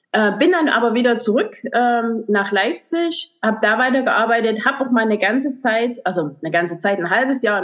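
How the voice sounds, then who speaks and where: A woman speaks at a moderate pace with lively intonation. Her pitch is fairly high. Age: 40s. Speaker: hairdresser and salon owner. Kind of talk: podcast interview. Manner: halting, many fillers.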